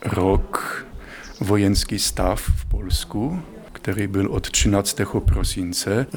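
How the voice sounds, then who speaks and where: A man with a Polish accent, fairly low pitch and ordinary pitch variation, over noticeable background noise. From Poland. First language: Polish (speaking Czech). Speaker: priest, rector of a pilgrimage site. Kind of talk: interview and guided tour. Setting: on location at a pilgrimage site.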